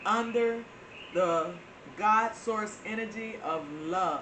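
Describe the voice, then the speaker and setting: In a room with audible echo and noticeable background noise, a woman with a Southern US accent speaks at a very slow pace, keeping a medium pitch and ordinary pitch variation. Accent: Florida southern. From Florida, US South. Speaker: spiritual channel host. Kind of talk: spiritual talk to viewers. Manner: hesitant with frequent fillers.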